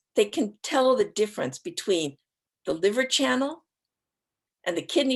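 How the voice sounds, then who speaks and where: Vocal fry runs through a woman's speech at a moderate pace, with very wide pitch swings. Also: long, frequent pauses. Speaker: acupuncture professor and author. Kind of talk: lecture. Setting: live online talk.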